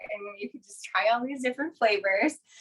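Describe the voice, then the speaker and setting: High-pitched and bright, a woman speaks in a sharp, animated tone. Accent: Minnesota. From Minnesota. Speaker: kitchenware sales consultant. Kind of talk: product demonstration.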